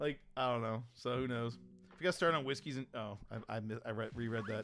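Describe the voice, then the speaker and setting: A man talks fairly quickly. Music runs underneath. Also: medium pitch for a man, ordinary pitch variation. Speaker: streamer. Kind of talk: casual chat. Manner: animated.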